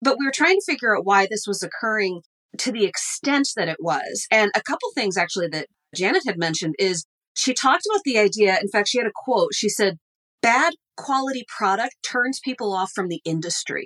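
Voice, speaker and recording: A woman speaks at a fairly quick pace in a fairly high pitch, her voice swinging very widely up and down. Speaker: business professor. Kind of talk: casual interview.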